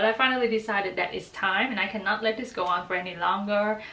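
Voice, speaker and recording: Against noticeable background noise, a woman with a medium pitch talks at a very fast pace. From Vietnam. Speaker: graduate student, book and fanfiction reviewer. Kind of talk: casual talk to camera. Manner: warm, enthusiastic.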